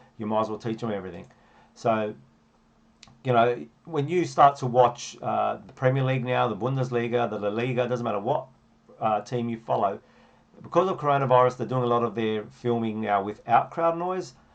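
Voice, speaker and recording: A man's medium-pitched voice in an Australian accent, at a fairly quick pace, with ordinary pitch variation. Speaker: football coach. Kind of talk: tutorial. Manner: fast.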